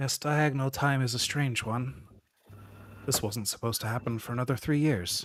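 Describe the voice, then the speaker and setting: A man does a put-on character voice that sounds strained, at a medium pitch. He talks at a moderate pace. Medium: actual play. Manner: restrained, little emotion.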